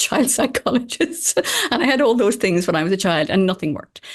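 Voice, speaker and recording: Very fast and animated, a woman talks with lively intonation. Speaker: former doctor and author. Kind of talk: interview.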